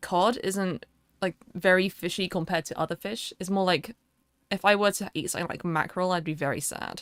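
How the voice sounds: With a British accent, a woman talks at a fairly quick pace and medium pitch, her intonation fairly even, in a very clean recording with a silent background and a dry, close sound with no echo.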